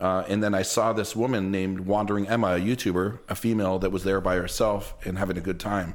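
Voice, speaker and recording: A man with a Toronto accent talks at a very fast pace with hardly any pauses, at a fairly low pitch. His intonation is monotone and flat, his loudness very even, and there is audible room echo. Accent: Toronto Canadian English. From Canada, Toronto (Jane and Lawrence). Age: 40s. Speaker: travel YouTuber. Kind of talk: casual podcast interview.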